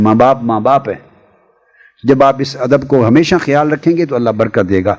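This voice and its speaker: A man speaks with ordinary pitch variation. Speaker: religious scholar and public orator giving speaking advice to young people. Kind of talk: instructional talk to an audience on public speaking. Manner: commanding, fatherly, emphatic, at times indignant.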